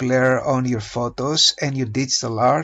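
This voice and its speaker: A man's fairly high voice with a non-native accent, fairly even intonation and a fairly slow pace. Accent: non-native English pronunciation. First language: not English. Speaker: hobby photographer and digital artist; presenter. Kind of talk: tutorial. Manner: hesitant, many filler uhs.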